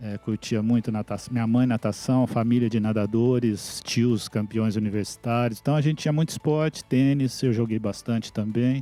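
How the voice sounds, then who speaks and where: A man's medium-pitched voice with a dark, mellow tone, fairly even intonation, a moderate pace and hardly any pauses. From Brazil, interior of São Paulo state (Mococa). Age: 60s. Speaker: IT executive. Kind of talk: interview. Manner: hesitant, with filler words.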